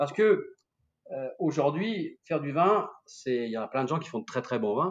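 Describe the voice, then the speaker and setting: Lively in intonation and animated in tone, a man speaks at a fairly high pitch. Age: 60s. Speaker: winemaker and sommelier. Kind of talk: casual interview.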